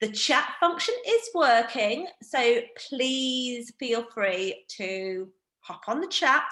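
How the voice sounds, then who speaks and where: Speaking at a very slow pace, a woman with a northeast English accent has a high, bright, sharp tone. Her intonation is lively, and her loudness swings widely. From northeast England. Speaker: wine educator. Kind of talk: online training presentation. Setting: video call. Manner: casual, filler-heavy.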